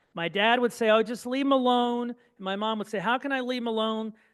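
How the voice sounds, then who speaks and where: A man at a fairly quick pace with a Midwestern American accent. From Indiana, Terre Haute. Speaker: speaker, son of Holocaust survivors. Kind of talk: public talk.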